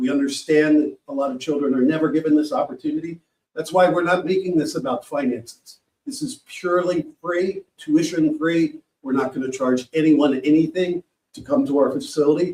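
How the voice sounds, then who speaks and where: Here is a man with an American accent and a fairly high pitch. He has a normal speaking voice, ordinary pitch variation, and a fairly quick pace. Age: 60s. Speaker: sports program founder. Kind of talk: panel presentation.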